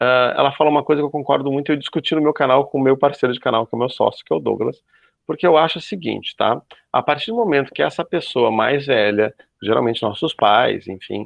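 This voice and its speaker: A man speaks very fast in a fairly high pitch, varying it in an ordinary way. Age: 40s. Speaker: youtuber. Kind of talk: panel discussion. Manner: animated.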